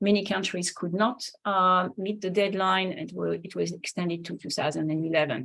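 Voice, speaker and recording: A woman with a French accent speaks at a medium pitch and a moderate pace. Vocal fry runs through her voice. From France. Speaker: linguist and flight instructor. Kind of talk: lecture. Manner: halting.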